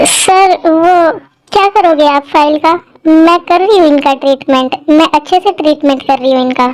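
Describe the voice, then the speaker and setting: Using a put-on character voice, a woman speaks at an extremely high pitch with ordinary pitch variation, very even loudness and a moderate pace. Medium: audio drama. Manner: deferential.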